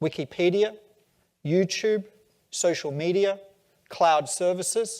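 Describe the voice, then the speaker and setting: A man with an Australian accent speaks at a very slow pace in a high voice, his intonation fairly even and broken by long, frequent pauses, on a very clean recording with a silent background. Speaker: tech company CEO. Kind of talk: onstage conference interview.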